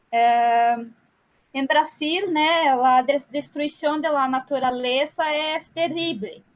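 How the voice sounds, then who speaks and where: A woman speaks with a Brazilian accent in a high voice. Her pitch varies in an ordinary way, and her pace is very slow. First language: Portuguese (speaking Spanish). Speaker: psychologist. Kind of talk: question in an online discussion circle.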